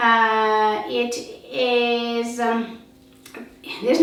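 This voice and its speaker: Speaking with a non-native accent, a woman with a high pitch is heard amid noticeable background noise and audible room echo. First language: not English. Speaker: beauty product reviewer. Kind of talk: product demonstration. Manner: halting, filler-heavy.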